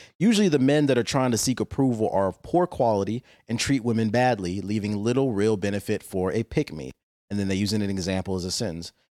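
In a very clean recording with a silent background and a dry, close sound with no echo, a man with an American accent speaks very fast at a medium pitch with lively intonation. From Washington DC. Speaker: podcast co-host. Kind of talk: casual chat. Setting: home studio, wireless mics. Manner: laid-back, joking.

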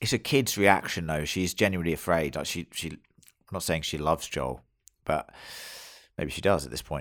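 A man with a British accent speaks at a very deep, low pitch, with vocal fry and ordinary pitch variation, at a fairly quick pace broken by long, frequent pauses. The recording is very clean, with a silent background. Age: 30s. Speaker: podcast host. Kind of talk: casual chat.

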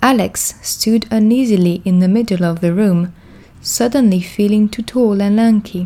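The delivery is a natural reading voice with ordinary pitch variation.

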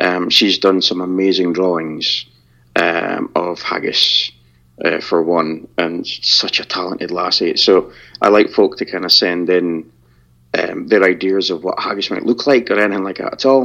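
This man speaks at a moderate pace with a Scottish accent. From Scotland. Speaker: podcaster. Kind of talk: casual interview.

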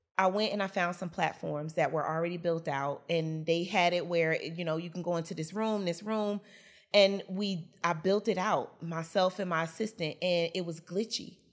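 A woman with an American accent and a plain, everyday voice, fairly low in pitch with ordinary pitch variation, at a moderate pace, on a very clean recording with a silent background. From Newark, New Jersey. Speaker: business coach. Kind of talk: interview.

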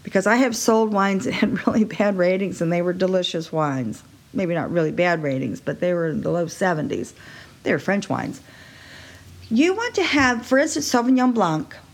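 Noticeable background noise sits behind a woman speaking at a moderate pace. Her pitch is medium and swings very widely. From Texas. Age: 60s. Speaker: podcast host, wine seller and yoga teacher. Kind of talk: solo podcast monologue.

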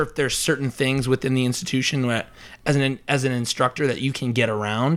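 A medium-pitched man with a Midwestern American accent, on a very clean recording with a silent background. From rural northwest Iowa. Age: 20s. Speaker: student. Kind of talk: casual debate.

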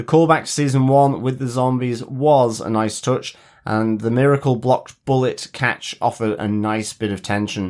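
Talking at a moderate pace and medium pitch, a man with a plain, everyday voice shows ordinary pitch variation. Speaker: podcast co-host. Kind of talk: casual chat.

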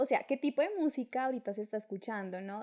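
A woman with an unremarkable speaking voice, fairly high in pitch with ordinary pitch variation, at a fairly quick pace. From Colombia, Duitama, Boyacá. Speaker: podcast co-host. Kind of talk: casual chat.

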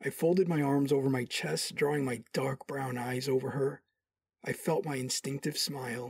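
A somewhat breathy man's voice, fairly high in pitch, with fairly even intonation at a moderate pace. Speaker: audio drama actor, doctor character. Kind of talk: sci-fi audio drama, romantic first-person narration and dialogue. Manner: charming, cocky, warm.

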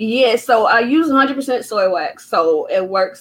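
A woman with a North Carolina accent speaks at a fairly high pitch against a quiet background. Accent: US Southern (North Carolina). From Durham, North Carolina. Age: 30s. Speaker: small business owner, candle maker. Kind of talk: interview.

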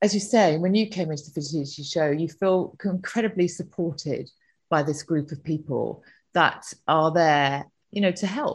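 At a moderate pace, a woman uses an unremarkable speaking voice with fairly low pitch and ordinary pitch variation over a quiet background. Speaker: events company director. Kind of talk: interview.

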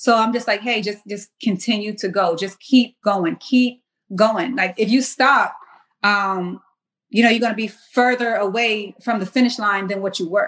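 A woman with a plain, everyday voice and fairly high pitch speaks at a moderate pace with fairly even intonation. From US South, Charleston area, South Carolina. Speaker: military service member and fitness apparel entrepreneur. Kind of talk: casual interview.

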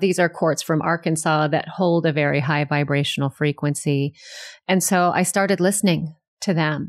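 A woman's normal speaking voice, fairly even in intonation and very even in loudness, in a very clean recording with a silent background. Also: fairly low pitch for a woman, moderate pace. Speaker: energy healer. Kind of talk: interview.

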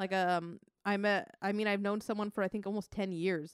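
A woman's normal speaking voice at medium pitch, with fairly even intonation and a fairly quick pace, on a very clean recording with a silent background. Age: 30s. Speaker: guest co-host and videographer. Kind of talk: casual chat.

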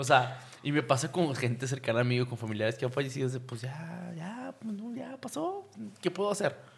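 Speaking with a Mexican accent, a man keeps a moderate pace. His pitch sits in the medium range and his intonation is lively. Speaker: podcast host. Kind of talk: casual chat.

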